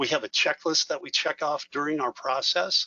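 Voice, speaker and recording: Pitched fairly high, a man speaks in a normal speaking voice. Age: 60s. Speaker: retired financial advisor and day trader. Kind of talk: webinar presentation. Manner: fast.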